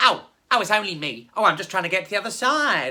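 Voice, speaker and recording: A woman speaks in a put-on character voice at a medium pitch. Her pace is very fast. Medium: read story. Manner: wheedling, sighing "oh"s.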